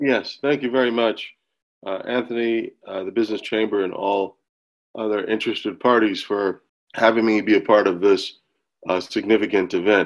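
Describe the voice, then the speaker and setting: At a moderate pace, a man with an American accent uses an unremarkable speaking voice, fairly low in pitch with fairly even intonation. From United States. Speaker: agribusiness governance advisor. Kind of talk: webinar presentation.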